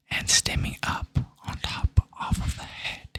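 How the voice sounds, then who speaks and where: A man whispers at a fairly slow pace. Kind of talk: ASMR whispered-style talk while studying. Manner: casual, rambling, curious.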